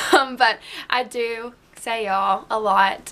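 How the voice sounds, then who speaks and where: A woman's bright, sharp voice pitched fairly high. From US South. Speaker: beauty vlogger. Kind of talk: casual chat. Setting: alone at home filming.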